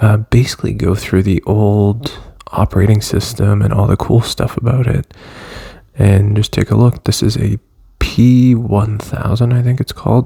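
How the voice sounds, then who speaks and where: Quiet and fairly low in pitch, a man speaks at a moderate pace with fairly even intonation over noticeable background noise. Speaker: tech video creator. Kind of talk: casual product walkthrough. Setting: at home, early morning. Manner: casual, hesitant with fillers.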